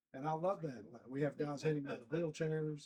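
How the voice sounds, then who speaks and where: This man's fairly high voice has a dark, mellow tone, comes out somewhat breathy, and moves at a moderate pace. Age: 60s. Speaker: long drive organization founder. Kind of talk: interview.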